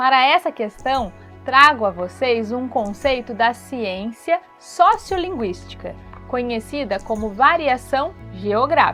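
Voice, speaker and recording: A woman's high-pitched voice with lively intonation at a very slow pace, music playing in the background. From Brazil, Vale do Paraíba (São Paulo state). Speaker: dance and art teacher, podcaster. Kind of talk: podcast commentary.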